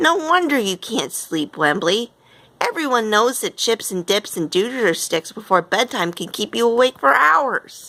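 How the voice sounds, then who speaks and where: A woman puts on a character voice at a fairly high pitch, with very wide pitch swings. Her delivery is rumbling and moves at a moderate pace. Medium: read story. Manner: grumbling, fussy.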